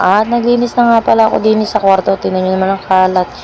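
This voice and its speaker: A woman talking at a very fast pace, fairly even intonation, with noticeable background noise. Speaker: mommy vlogger. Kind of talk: vlog voice-over narration. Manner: casual, chatty.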